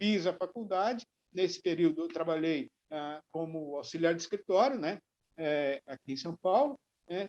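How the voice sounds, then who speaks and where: A man speaks at a high pitch and moderate pace with lively intonation. The sound is dry and close, with no echo. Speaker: journalist and TV presenter. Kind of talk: interview answer. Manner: conversational, relaxed.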